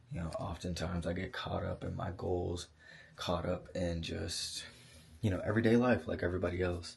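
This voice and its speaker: A man's very deep, low, somewhat breathy voice. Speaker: vlogger. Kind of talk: casual vlog monologue. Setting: vacation house at night. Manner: hesitant, many fillers.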